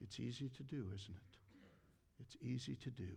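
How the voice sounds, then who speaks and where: With an American accent, a man speaks in a somewhat breathy voice with ordinary pitch variation. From Ohio, US Midwest. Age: 60s. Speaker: pastor. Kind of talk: sermon. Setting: church.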